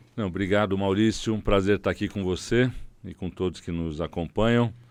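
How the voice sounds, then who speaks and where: In a plain, everyday voice, a man talks at a fairly quick pace. His pitch is fairly low and his intonation fairly even. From Brazil, São Paulo city. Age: 60s. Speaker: city councillor, politician. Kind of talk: interview.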